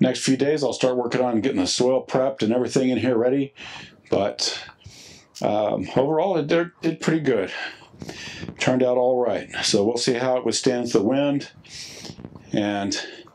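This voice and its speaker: A man at a moderate pace with long, frequent pauses, ordinary pitch variation, very even loudness and light background noise. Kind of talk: casual vlog chat. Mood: relaxed, satisfied. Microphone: phone near.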